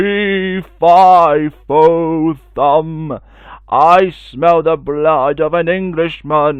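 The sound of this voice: In a put-on character voice, a man speaks very slowly and loudly at a fairly high pitch.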